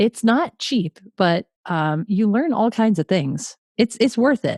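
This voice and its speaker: A woman with a New England accent speaks at a fairly slow pace and fairly high pitch, with very wide pitch swings, in a dry, close sound with no echo. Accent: New England American. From Connecticut. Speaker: podcast host. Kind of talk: casual chat.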